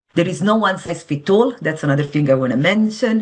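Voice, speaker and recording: A woman with an Italian accent and lively intonation. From Italy. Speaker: financial advisor. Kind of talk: interview.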